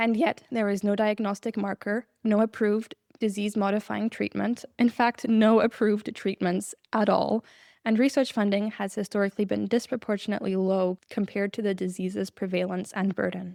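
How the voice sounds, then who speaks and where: At a fairly quick pace, a shaky woman's voice with a medium pitch, fairly even intonation and a dark, mellow tone comes through a very clean recording with a silent background and a dry, close sound with no echo. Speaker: podcast host. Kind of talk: scripted narration. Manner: shaky voice.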